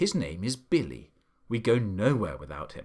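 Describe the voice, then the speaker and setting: A man's put-on character voice, growling at medium pitch and a moderate pace. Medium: read story.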